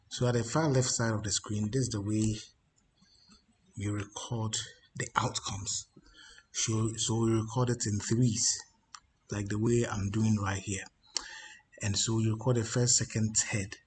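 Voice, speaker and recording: A quiet, strained, somewhat breathy man's voice at medium pitch, monotone and flat, fairly slow with long, frequent pauses. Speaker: baccarat strategy youtuber. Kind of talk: screen-share tutorial. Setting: office. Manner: quiet, restrained volume; halting, many fillers and repeats.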